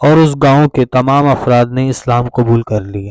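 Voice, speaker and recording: In a dry, close sound with no echo, a man with an ordinary speaking voice talks at medium pitch with fairly even intonation. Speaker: Islamic lecturer / religious content creator. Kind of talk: religious talk to camera.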